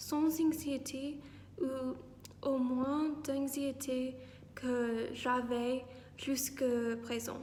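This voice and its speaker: Background noise is noticeable and the room echo is audible. A woman speaks at a high pitch with monotone, flat intonation. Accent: English. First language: English (speaking French). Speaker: vlogger, student abroad. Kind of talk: vlog. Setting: outdoors in a park. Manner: halting, frequent hesitations.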